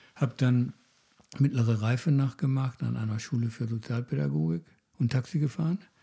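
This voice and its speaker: A man's dark, mellow tone sits at a medium pitch and comes out somewhat breathy. His pace is moderate and his intonation lively. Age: 60s. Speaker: psychologist, podcast host. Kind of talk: casual conversation.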